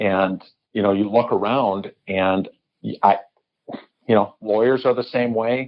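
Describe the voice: With an American accent, a man talks at a fairly slow pace, his fairly low pitch following a fairly even intonation.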